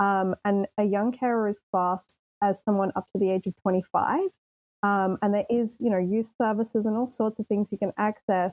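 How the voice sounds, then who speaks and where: A woman with an Australian accent speaks at a moderate pace and medium pitch. Her intonation is monotone and flat, and her loudness stays very even. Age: 20s. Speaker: young caregiver. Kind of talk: podcast interview.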